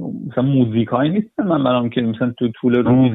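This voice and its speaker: A man speaks in an ordinary speaking voice at medium pitch. His pace is fairly quick and his intonation fairly even. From Iran. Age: 30s. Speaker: interviewee. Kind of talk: interview.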